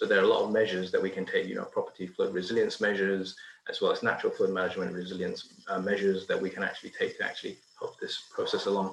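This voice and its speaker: A man races along at a very fast pace, with noticeable background noise behind him. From Malaysia (Penang). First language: not English. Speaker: engineer, research manager. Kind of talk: interview. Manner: hesitant, many fillers.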